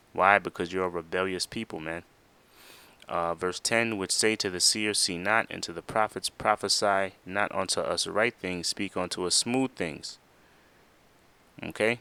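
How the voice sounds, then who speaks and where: Recorded very cleanly with a silent background and a dry, close sound with no echo, a man with a very deep, low pitch and a bright, sharp tone speaks at a moderate pace with fairly even intonation. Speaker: street preacher. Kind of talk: sermon.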